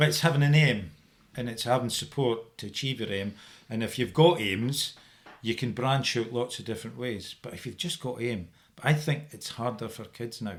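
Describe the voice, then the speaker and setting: A man with a Dundee accent at medium pitch and moderate pace, with ordinary pitch variation and big swings in loudness, on a very clean recording with a silent background. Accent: Dundee Scots. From Scotland, Dundee. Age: 60s. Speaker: firefighter. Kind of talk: casual chat.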